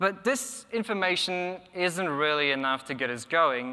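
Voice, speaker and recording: Speaking at a fairly slow pace, a man uses a bright, sharp tone. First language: Polish. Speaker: conference speaker, software tester and electronic musician. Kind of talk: conference talk. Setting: conference stage with audience. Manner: casual, hesitant with filler words. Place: hall. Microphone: lapel.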